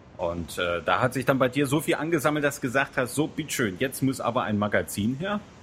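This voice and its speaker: Speaking at a fairly quick pace with hardly any pauses, a man with a medium-pitched voice and vocal fry makes very wide pitch swings. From Thuringia, Germany (Erfurt). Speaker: podcast host. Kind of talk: casual chat and interview; scripted narration.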